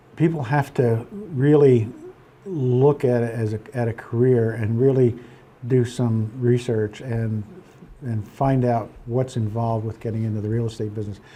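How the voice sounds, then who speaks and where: Over noticeable background noise, a man with an American accent talks at a moderate pace and medium pitch with fairly even intonation. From Pennsylvania, Poconos. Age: 70s. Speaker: real estate broker. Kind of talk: interview. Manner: halting, many fillers and repeats.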